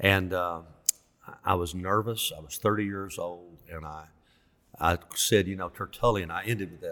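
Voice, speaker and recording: A bright, sharp tone in a Southern US accent, with monotone, flat intonation. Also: man. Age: 60s. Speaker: pastor. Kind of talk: casual interview.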